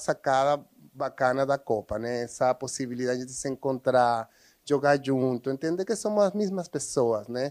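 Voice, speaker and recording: A man speaks with a Spanish accent at a moderate pace, his pitch fairly high and its variation ordinary. The sound is dry and close with no echo, on a very clean recording with a silent background. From Venezuela. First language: Spanish (speaking Portuguese). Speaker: social educator. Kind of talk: interview.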